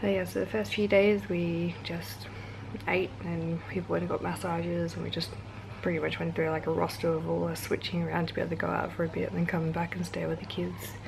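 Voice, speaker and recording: Quietly and at a fairly quick pace, a woman speaks amid audible room echo and noticeable background noise. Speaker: travel vlogger. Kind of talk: casual chat.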